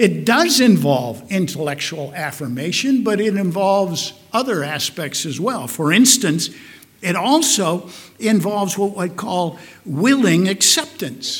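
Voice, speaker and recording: A high-pitched man with a Midwestern American accent, very wide pitch swings and a fairly slow pace, with audible room echo. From US Midwest, Omaha, Nebraska. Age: old. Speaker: pastor. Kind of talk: sermon.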